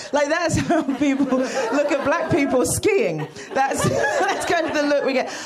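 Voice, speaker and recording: A woman with a British accent speaks at a moderate pace in a high voice, with noticeable background noise. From United Kingdom. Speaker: comedian. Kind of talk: stand-up. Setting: stage with audience.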